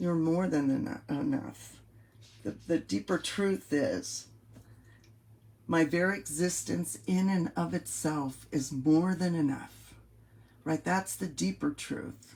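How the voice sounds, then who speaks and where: A woman with an American accent speaks very slowly, with long, frequent pauses. The recording is very clean, with a silent background. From US West Coast, San Francisco Bay Area. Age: 60s. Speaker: life coach. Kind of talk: motivational coaching monologue. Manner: casual, repetitive with hesitations.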